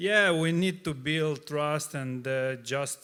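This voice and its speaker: A man with a Russian accent speaks with a bright, sharp tone at a fairly high pitch and fairly even intonation, on a very clean recording with a silent background. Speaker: startup CEO, panelist. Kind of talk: panel discussion. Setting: stage with audience. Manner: halting, many fillers.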